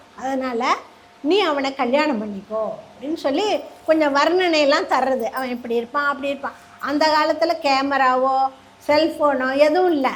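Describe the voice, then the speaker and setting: Over noticeable background noise, a woman with a high pitch speaks with ordinary pitch variation. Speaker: storyteller. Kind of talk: religious story discourse to a live audience. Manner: warm, graceful.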